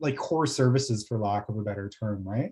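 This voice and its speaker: A somewhat breathy man speaking at a fairly quick pace over a quiet background. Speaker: planning consultant presenting to council. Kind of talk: council meeting presentation. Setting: municipal council meeting. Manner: fast.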